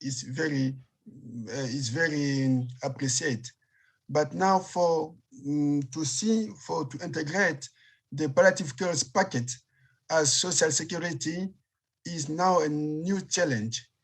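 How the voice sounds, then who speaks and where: This man has a Congolese accent and a fairly high pitch with ordinary variation, speaking somewhat breathily at a fairly slow pace. Long, frequent pauses break up his speech, and the recording is very clean with a silent background. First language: French. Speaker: palliative care physician. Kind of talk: panel discussion. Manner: halting.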